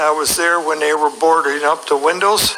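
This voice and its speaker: Noticeable background noise sits behind a man with a fairly high voice and an American accent. He speaks at a moderate pace. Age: 60s. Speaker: election observer. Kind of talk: testimony.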